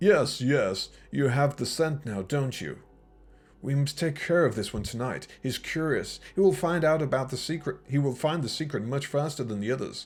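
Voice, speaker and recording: With music in the background, a man uses a hissing, fairly high put-on character voice at a moderate pace. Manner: hissing, sinister.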